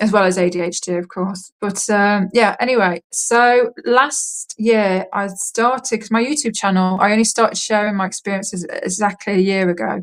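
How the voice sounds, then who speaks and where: A woman speaks in an English accent with fairly even intonation. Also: medium pitch for a woman. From England. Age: 30s. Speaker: contact experiencer. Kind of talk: interview testimony. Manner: fast.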